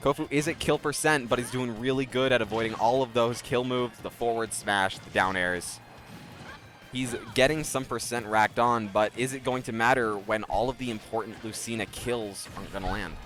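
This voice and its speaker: Noticeable background noise sits behind a man speaking at a moderate pace, his medium pitch varying an ordinary amount. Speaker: esports commentator. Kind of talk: live commentary. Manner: loud.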